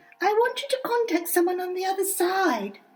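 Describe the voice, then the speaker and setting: This is a put-on character voice, squeaky in sound. Its pitch is extremely high. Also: fairly quick pace. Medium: audio drama. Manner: insistent, prim.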